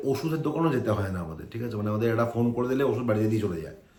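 A man talks at a medium pitch. The room echo is audible, and there is noticeable background noise. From India, Kolkata (West Bengal). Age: 30s. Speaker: IT professional, vlogger's husband. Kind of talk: casual vlog talk to camera.

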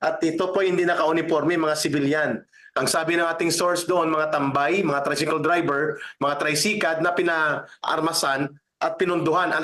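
The delivery is monotone with flat intonation at a moderate pace. Loudness stays very even throughout. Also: man, fairly high pitch for a man. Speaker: news commentator. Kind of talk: news report.

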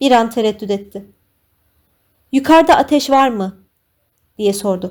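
Fairly slow, fairly high-pitched speech from a woman. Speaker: audiobook narrator. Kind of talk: dramatic audiobook narration with tense, pleading character dialogue.

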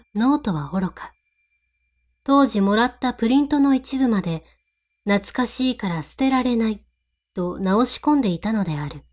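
A woman speaks in a normal speaking voice, fairly high in pitch, with lively intonation at a moderate pace on a very clean recording with a silent background. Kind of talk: ghost story reading.

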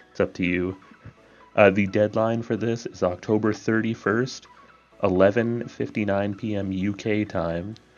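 Over music in the background, a man talks quietly in a fairly low voice with fairly even intonation. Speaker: gaming clan leader announcing recruitment. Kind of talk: casual video announcement.

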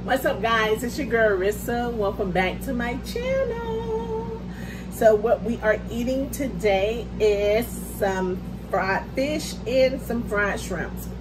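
Speech at a very slow pace runs over noticeable background noise. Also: woman. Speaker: mukbang creator. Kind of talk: casual vlog chat. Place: home room. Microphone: phone near.

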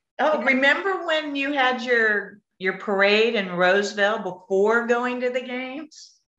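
In an American accent, a woman speaks at a fairly slow pace with a high pitch and lively intonation, with hardly any pauses, a quiet background and audible room echo. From California. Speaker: Olympic swimmer; guest. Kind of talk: panel discussion. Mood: cheerful, reminiscing. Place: home room. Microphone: video call.

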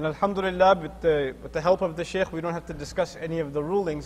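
Over light background noise, a man talks at a very fast pace with fairly even intonation. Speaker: speaker. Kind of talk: lecture. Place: hall. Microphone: podium.

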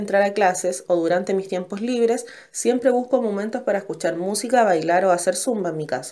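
A woman speaks in a medium pitch with a dark, mellow tone. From Chile, Valparaíso region. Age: 20s. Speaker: law student. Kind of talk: scripted class presentation. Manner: formal.

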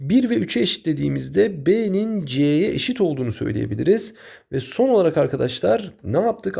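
Over a silent background in a very clean recording, a man with a dark, mellow tone and vocal fry speaks at a moderate pace, his fairly high pitch swinging very widely. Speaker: math teacher. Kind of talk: tutorial.

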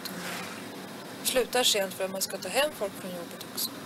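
A woman speaks at a moderate pace with ordinary pitch variation. Noticeable background noise is present. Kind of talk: interview answer. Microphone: old recording.

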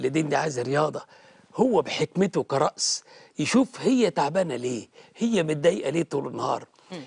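The voice is somewhat breathy and moves at a fairly quick pace. The sound is dry with no echo over a quiet background. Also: man. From Egypt. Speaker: Coptic Orthodox bishop. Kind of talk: TV interview, pastoral advice. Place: studio. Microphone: lapel.

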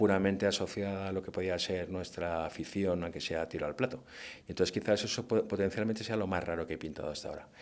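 A man with a very deep, low pitch speaks here. He goes at a very fast pace with fairly even intonation. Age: 50s. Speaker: hunting-themed painter. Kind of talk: interview conversation. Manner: hesitant with many fillers.

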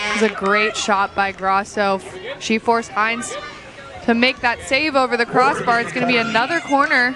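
Against crowd noise in the background, a woman speaks at a fairly high pitch and a moderate pace, with ordinary pitch variation and very even loudness. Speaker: color commentator. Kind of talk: live sports commentary with analysis. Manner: measured, explanatory, calmer than play-by-play.

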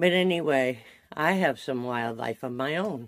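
A woman's very deep, low voice with ordinary pitch variation, a fairly slow pace, and a quiet background. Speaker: vlogger. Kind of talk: casual vlog chat. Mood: cheerful, laughing. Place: home room. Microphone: phone near.

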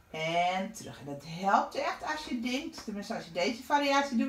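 A woman speaks at a moderate pace with very wide pitch swings, with audible room echo around her. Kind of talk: exercise class instruction. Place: home room. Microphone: camera far.

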